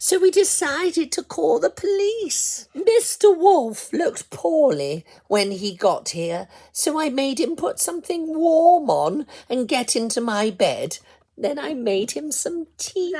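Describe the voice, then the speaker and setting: The speaker uses a put-on character voice. It sits at a high pitch. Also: fairly slow pace. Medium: read story.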